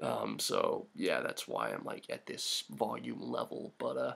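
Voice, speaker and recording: A man speaks quietly. Noticeable background noise runs underneath. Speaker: gaming youtuber. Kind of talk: gameplay commentary. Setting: at home late at night. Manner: quiet, hushed.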